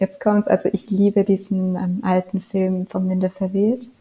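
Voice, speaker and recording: Against a dry, close sound with no echo, a woman speaks at a moderate pace in a monotone, flat intonation. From rural Germany. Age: 20s. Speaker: novelist. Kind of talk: interview.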